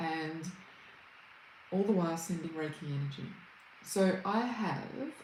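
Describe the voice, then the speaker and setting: A woman's fairly low voice with an Australian accent, at a fairly slow pace with ordinary pitch variation, long and frequent pauses, and audible room echo. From Australia, Brisbane. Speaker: reiki healer and meditation teacher. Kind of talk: livestream chat with viewers. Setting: livestream. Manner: warm, welcoming.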